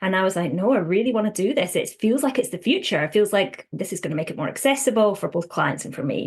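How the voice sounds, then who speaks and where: In a Scottish accent, the somewhat breathy voice moves at a very fast pace with lively intonation. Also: woman, medium pitch for a woman. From Scotland. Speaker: counsellor. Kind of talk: interview. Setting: podcast.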